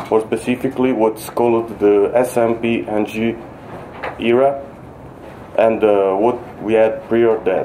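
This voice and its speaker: With a non-native accent, a man at medium pitch speaks in a flat monotone at a fairly slow pace with long, frequent pauses, amid room echo and noticeable background noise. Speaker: software developer presenting at a conference. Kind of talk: conference talk. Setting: conference stage with audience. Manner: halting, many fillers and restarts.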